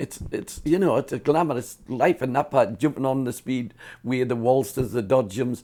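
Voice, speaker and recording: With a Cumbrian accent, a man talks at a moderate pace in a dark, mellow tone, his pitch moving in an ordinary way. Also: medium pitch for a man. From northern England, Carlisle. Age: 70s. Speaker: fairground showman. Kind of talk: storytelling interview. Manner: casual, halting with repetitions.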